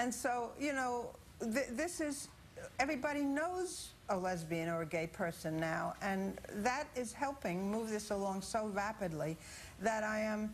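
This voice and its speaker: Speaking at a fairly slow pace, a woman with a fairly high, somewhat breathy voice makes very wide pitch swings while keeping very even loudness, with audible room echo. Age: 70s. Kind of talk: TV news interview.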